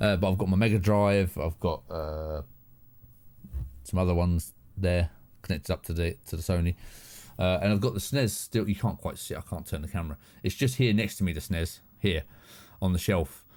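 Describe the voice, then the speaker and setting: In a southern English accent, a man with a very deep, low pitch and ordinary pitch variation talks at a fairly quick pace with long, frequent pauses, on a very clean recording with a silent background. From southern England. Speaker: live streamer. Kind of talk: casual chat. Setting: home studio.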